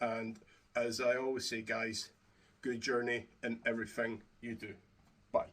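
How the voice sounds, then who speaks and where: A man talks in a monotone, flat intonation with long, frequent pauses. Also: medium pitch for a man, fairly slow pace. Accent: Scottish. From Scotland. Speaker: YouTuber reviewing wrestling belt replicas. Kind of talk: product review to camera. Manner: casual, hesitant with fillers.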